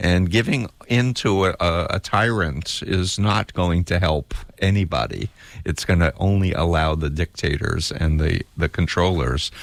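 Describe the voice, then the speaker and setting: Speaking with an American accent, a man uses a very deep, low pitch with ordinary pitch variation, very even loudness and a fairly slow pace, in a dry, close sound with no echo. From US Northeast, Queens, New York. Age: 60s. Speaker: cult expert and author. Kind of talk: radio interview.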